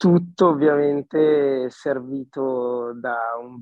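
A man speaks with fairly even intonation. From Milan area, northern Italy. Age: 20s. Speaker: singer-songwriter. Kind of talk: casual interview. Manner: halting, repeating words.

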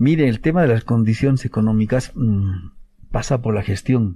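The voice is somewhat breathy, with a dark, mellow tone and ordinary pitch variation. It moves at a moderate pace against a quiet background. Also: man. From Bolivia, Tupiza, Potosí. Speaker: government official, protected areas director. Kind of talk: radio interview. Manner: halting, many fillers.

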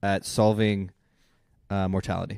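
The recording of this man is very clean, against a silent background. His sound is dry and close, with no echo. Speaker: podcast guest. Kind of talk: casual chat.

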